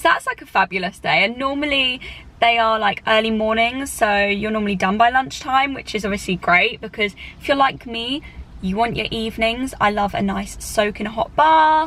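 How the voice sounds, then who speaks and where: In a British accent, a woman talks at a moderate pace. Her pitch is fairly high and varies in an ordinary way. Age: 20s. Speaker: flight attendant and vlogger. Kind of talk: casual Q&A vlog. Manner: casual with many fillers.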